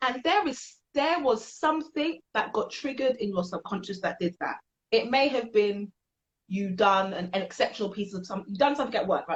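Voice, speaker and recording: Animated in tone and somewhat breathy, a woman with a British accent talks at a fairly quick pace. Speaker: podcast host. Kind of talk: casual chat. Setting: livestream. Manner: fast.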